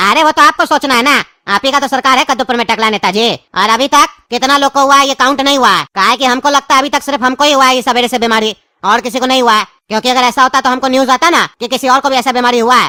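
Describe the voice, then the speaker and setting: This female-sounding voice is pitched high and put on as a cartoonish character. It races along at a very fast pace. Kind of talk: mock TV news broadcast.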